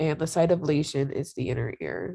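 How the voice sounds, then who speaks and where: Vocal fry comes through on a very clean recording with a silent background and a dry, close sound with no echo. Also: woman. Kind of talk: informal educational presentation. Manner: halting with many fillers.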